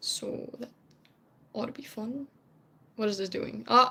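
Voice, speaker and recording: Speaking with a Dutch accent, a woman has a fairly high pitch and ordinary pitch variation. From Netherlands. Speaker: streamer, cosplayer. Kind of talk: casual live stream chat. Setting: home live stream. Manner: rambling, chatty with fillers.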